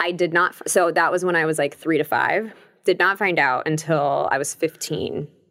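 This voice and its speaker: A woman with an American accent speaks at a moderate pace with vocal fry and fairly even intonation. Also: fairly low pitch for a woman. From Long Beach, California. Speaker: breakup coach and recovering alcoholic. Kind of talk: casual interview.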